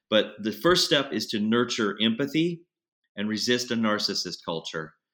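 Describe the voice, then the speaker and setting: The recording is very clean, with a silent background. A man speaks in a fairly low pitch with a bright, sharp tone. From Texas. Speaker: podcast co-host. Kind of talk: interview.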